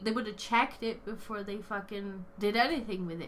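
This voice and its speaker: Audible room echo surrounds a woman whose medium-pitched voice has a bright, sharp tone. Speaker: podcast host. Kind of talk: casual chat.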